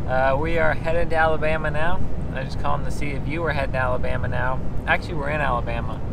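Amid loud background noise, a man talks at a very fast pace in a dry sound with no echo. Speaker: fishing vlogger. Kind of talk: casual vlog chat. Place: car. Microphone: phone near.

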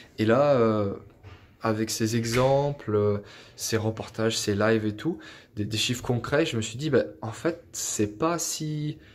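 A man talks very slowly at a medium pitch, his pitch varying in an ordinary way. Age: 20s. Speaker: IT engineer and property investor. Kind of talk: testimony. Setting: self-recorded video. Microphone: phone near.

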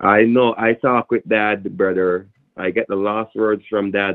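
A man speaks with a Jamaican accent in a fairly low voice. His intonation is flat and monotone. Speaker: phone scammer. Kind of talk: heated phone argument. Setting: phone call. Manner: aggressive.

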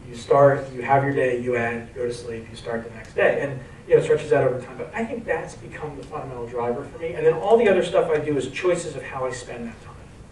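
Fairly quick speech comes through over noticeable background noise. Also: man. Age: 40s. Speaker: venture capital investor and entrepreneur. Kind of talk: onstage interview. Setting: stage with audience.

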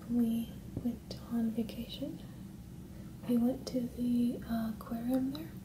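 Soft-spoken delivery at a fairly slow pace over noticeable background noise. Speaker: vlogger. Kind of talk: casual vlog chat. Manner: soft-spoken, quiet ASMR voice. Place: home room. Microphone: camera far.

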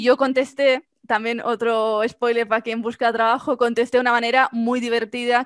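A fairly quick pace, dry sound with no echo, and a quiet background. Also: woman. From Spain, Mallorca; Spain. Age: 20s. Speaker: marketing agency founder; podcast guest. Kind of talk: interview. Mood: cheerful, laughing storytelling. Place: home room. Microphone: headset.

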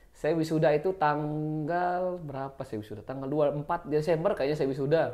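Against a quiet background, a man with a fairly high pitch and a dark, mellow tone speaks with big swings in loudness. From Lombok, Indonesia (Loyok village); Lombok, Indonesia. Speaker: journalist. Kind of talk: casual interview. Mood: relaxed, smiling. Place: studio. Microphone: lapel.

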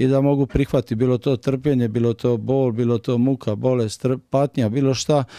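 Flat, monotone delivery from a man at medium pitch, moving at a fairly quick clip. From Croatia, Dalmatia (Split area). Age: 40s. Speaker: former kickboxer giving religious testimony. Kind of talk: religious testimony. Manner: fast; halting.

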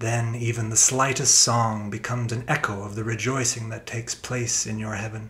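Over noticeable background noise, a man speaks in a solemn tone with monotone, flat intonation and hardly any pauses. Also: medium pitch for a man, moderate pace. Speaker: reader of prayer. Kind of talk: reading aloud a written prayer, solemn devotional intercession. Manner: solemn, pleading.

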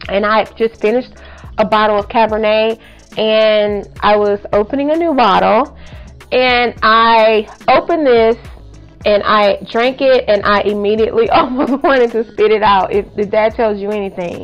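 Faint music plays in the background as a woman speaks at a moderate pace with ordinary pitch variation. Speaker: product reviewer. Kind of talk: casual vlog review. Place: home room. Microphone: phone near.

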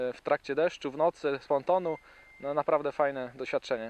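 Recorded with a dry sound and no echo, a man speaks in a fairly high voice with fairly even intonation. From Wielkopolska, Poland. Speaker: angler and shop manager. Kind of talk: short interview-style self-introduction. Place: waterside.

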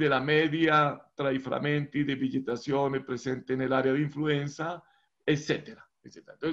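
Against a quiet background, a man with a fairly high pitch speaks at a fairly slow pace. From Colombia. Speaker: professor. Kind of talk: lecture. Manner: halting. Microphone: video call.

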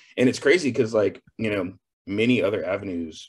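This man has an American accent and a fairly low pitch. His voice is somewhat breathy and his pace very fast. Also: quiet background. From Texas. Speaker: chef. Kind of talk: interview.

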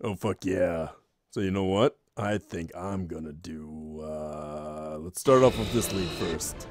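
In a put-on character voice, a man speaks fairly slowly at a very deep, low pitch, leaving long, frequent pauses. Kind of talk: fan parody gaming commentary. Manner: casual, crude, jokey.

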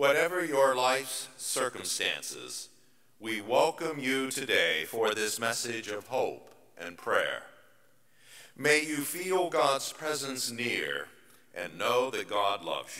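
At a very slow pace, the voice shows big swings in loudness. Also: man. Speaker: pastor leading worship. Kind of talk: liturgical welcome and prayer. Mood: warm, calm, reverent. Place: church. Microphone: podium.

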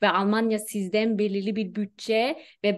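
The background stays quiet. A woman talks at a very slow pace. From Germany (Turkish-German). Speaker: HR specialist; guest. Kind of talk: casual interview. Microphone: video call.

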